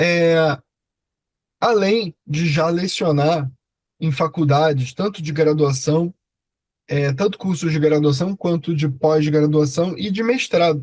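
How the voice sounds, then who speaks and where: A man with a Rio de Janeiro accent speaks at a very slow pace, leaving long, frequent pauses. His voice sits fairly high, with ordinary pitch variation. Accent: Rio de Janeiro (carioca). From Rio de Janeiro, Brazil. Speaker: law professor. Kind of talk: online lecture. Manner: hesitant, many filler 'é'.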